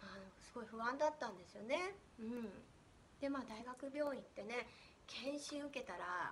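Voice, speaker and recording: A woman speaks in a high, animated voice with lively intonation and big swings in loudness. She leaves long, frequent pauses. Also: moderate pace. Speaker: spiritual coach. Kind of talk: casual monologue. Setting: at home.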